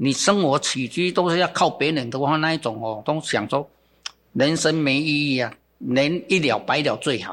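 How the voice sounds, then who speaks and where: This man has an unremarkable speaking voice, fairly high-pitched for a man. He speaks at a moderate pace with ordinary pitch variation. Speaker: bonsai gardener and business founder. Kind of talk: interview. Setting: studio. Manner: casual with many filler particles.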